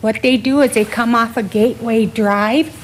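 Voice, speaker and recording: Against noticeable background noise, a woman with a fairly high pitch speaks at a very slow pace. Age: 60s. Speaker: local business owner. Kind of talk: public comment at council meeting. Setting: city council chamber.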